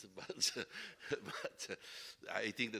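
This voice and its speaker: A man's bright, sharp tone with an Italian accent. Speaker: panelist, long-time worker in Africa. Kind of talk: panel discussion. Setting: stage with audience.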